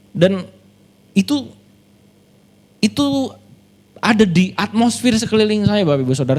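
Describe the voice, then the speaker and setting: A man with a Sundanese accent speaks at a moderate pace in an animated tone. His pitch swings very widely. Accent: Sundanese-accented Indonesian. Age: 30s. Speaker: pastor. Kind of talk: sermon.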